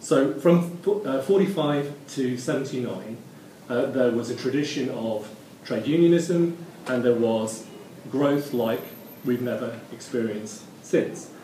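Very slowly and with ordinary pitch variation, a man talks while noticeable background noise plays behind him. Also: medium pitch for a man. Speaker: local councillor, Green party substitute.

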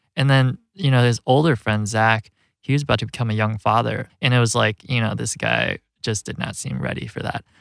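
A man speaks in an ordinary speaking voice at a medium pitch and a fairly quick pace, with ordinary pitch variation and a dry, close sound with no echo. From US Midwest, Rockford, Illinois. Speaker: documentary filmmaker. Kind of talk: interview. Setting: studio. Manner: casual, many fillers.

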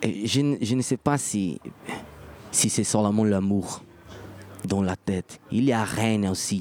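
The speaker has a Portuguese accent and a very slow pace with long, frequent pauses. Loudness stays very even, and pitch varies in an ordinary way. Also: man, fairly low pitch for a man. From Brazil. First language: Portuguese (speaking French). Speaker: musician. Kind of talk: interview. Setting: festival venue. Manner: halting.

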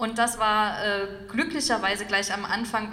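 A woman at medium pitch and moderate pace, monotone and flat, with audible room echo and noticeable background noise. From Saxony, eastern Germany (Dresden). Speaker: former party politician and author. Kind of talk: public talk interview. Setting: stage with audience.

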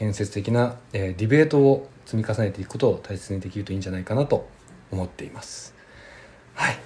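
The speech moves at a fairly quick pace, somewhat breathy, with big swings in loudness and ordinary pitch variation. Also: man, fairly low pitch for a man. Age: 30s. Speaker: podcast host. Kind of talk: casual chat.

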